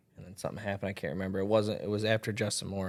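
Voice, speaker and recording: With an American accent, a man with a fairly low voice speaks at a very fast pace in a flat monotone, on a very clean recording with a silent background. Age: 20s. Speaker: country singer. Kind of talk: interview.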